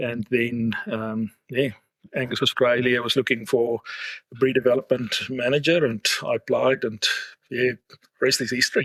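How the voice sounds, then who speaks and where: In a dry, close sound with no echo, a man speaks at a medium pitch and moderate pace in a flat monotone, pausing long and often. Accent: South African. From South Africa, Afrikaans-speaking. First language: Afrikaans. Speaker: livestock genetics executive. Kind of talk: interview podcast.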